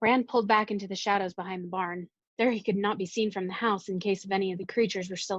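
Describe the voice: Plain reading aloud. The intonation stays fairly even over a quiet background.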